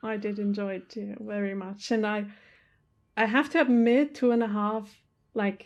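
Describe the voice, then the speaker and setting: Speaking with a non-native accent, a woman uses a fairly high pitch, fairly even intonation, and a moderate pace. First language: not English. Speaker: movie reaction youtuber. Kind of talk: casual chat. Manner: halting.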